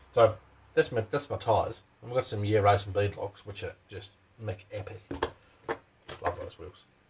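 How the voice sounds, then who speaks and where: With long, frequent pauses and big swings in loudness, a man talks in an Australian accent. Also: moderate pace. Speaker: RC hobby channel host. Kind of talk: live stream tutorial. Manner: casual, chatty.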